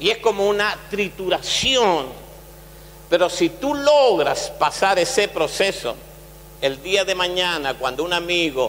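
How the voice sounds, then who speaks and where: Very slow delivery from a man with a high pitch and very wide pitch swings. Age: 60s. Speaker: pastor. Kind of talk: sermon.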